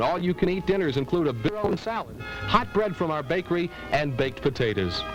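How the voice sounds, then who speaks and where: Music plays behind a man speaking at a moderate pace. His fairly high pitch swings very widely. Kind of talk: TV commercial read.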